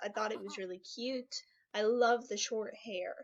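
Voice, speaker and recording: Speaking very slowly, this woman has a fairly high voice. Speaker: gaming YouTuber. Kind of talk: gameplay commentary. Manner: casual, rambling.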